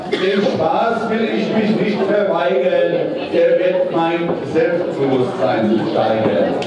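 Amid loud background noise and audible room echo, a man speaks at a very slow pace. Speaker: carnival speaker. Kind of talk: carnival rhymed comic speech. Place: hall.

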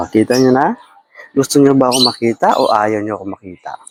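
The sound is dry and close, with no echo. The speaker is soft-spoken. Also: man. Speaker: vlogger. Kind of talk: live vlog chat. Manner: animated.

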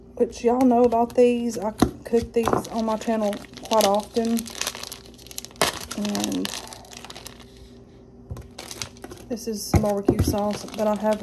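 A woman is talking, and background noise can be clearly heard. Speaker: home cooking vlogger. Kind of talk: casual vlog chat. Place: kitchen. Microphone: phone near.

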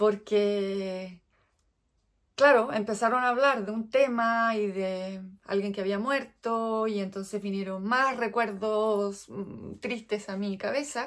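In a Chilean accent, a woman with a fairly high voice speaks very slowly and with fairly even intonation against a quiet background. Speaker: knitting vlogger; crafting podcaster. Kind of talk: casual chat. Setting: indoors at home. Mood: chatty, briefly wistful. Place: home room. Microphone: phone near.

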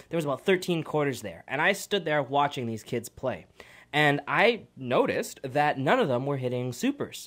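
Against a quiet background, the speaker uses an animated tone and lively intonation at a moderate pace. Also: man. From Canada. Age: 20s. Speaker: radio co-host. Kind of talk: casual radio chat. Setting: radio studio. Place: studio. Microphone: studio mic.

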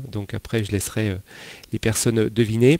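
At a moderate pace, a man speaks with fairly low pitch and fairly even intonation in a dry sound with no echo. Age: 40s. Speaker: financial advisor; interview guest, money coach. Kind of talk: interview. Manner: halting, many repetitions and fillers. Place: home room. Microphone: headset.

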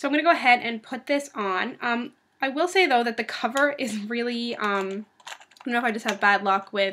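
A woman's high-pitched voice with light background noise. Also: ordinary pitch variation, fairly quick pace. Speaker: beauty vlogger. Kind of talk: casual vlog chat. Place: home room. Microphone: webcam.

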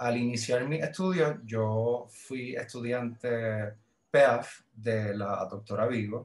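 The voice carries a Puerto Rican accent. It moves at a very slow pace with ordinary pitch variation. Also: man. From Puerto Rico. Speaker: librarian; podcast guest. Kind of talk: casual interview. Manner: halting, repeats words. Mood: relaxed, reminiscing. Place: home room. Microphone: video call.

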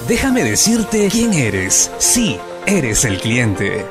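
Clear music plays in the background. Over it, a man speaks at a very slow pace. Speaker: voice-over announcer (locutor en off). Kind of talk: radio/TV commercial spot. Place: booth. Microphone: studio mic.

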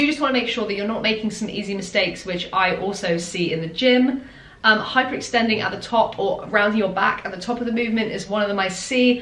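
Talking at a very fast pace with hardly any pauses, a woman with a fairly high pitch and ordinary pitch variation is heard amid noticeable background noise and audible room echo. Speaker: fitness influencer and online coach. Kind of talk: tutorial.

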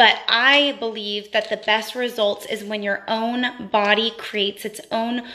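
Her voice fairly high, a woman speaks very slowly in a flat monotone. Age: 20s. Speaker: beauty vlogger. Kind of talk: live stream product review. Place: home room. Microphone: phone near.

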